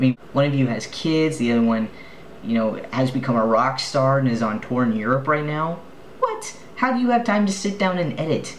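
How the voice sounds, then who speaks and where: A man speaks in a normal speaking voice with fairly high pitch and lively intonation at a moderate pace. Light background noise can be heard. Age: 20s. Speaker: vlogger and film student; vlogger. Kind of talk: video blog. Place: home room. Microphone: webcam.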